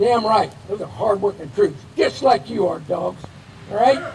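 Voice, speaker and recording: With noticeable background noise, a man speaks at a moderate pace. His tone is animated and his intonation lively. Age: 70s. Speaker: retired Air Force officer, hall of fame inductee. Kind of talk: acceptance speech. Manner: folksy, animated.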